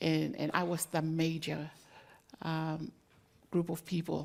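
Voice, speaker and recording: With a Tongan accent, a woman talks at a fairly slow pace in a very deep, low pitch, her intonation monotone and flat and her voice showing vocal fry. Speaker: community leader. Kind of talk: panel discussion.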